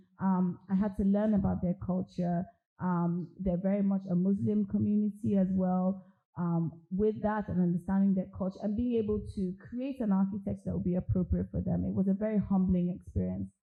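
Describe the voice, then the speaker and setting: A woman with a somewhat breathy, medium-pitched voice talks at a moderate pace with ordinary pitch variation. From Nigeria, Lagos. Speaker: architect. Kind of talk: interview at a public talk.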